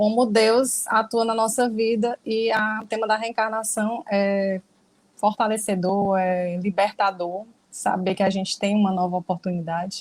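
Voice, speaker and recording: A woman in an ordinary speaking voice talks at medium pitch with fairly even intonation, recorded very cleanly over a silent background. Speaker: spiritist study group speaker. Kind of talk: lecture. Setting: livestream.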